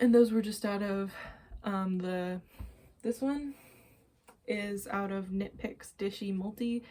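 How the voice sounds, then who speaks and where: Somewhat breathy, a woman's voice sits at medium pitch with fairly even intonation. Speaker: knitting and crochet podcaster. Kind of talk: casual show-and-tell vlog.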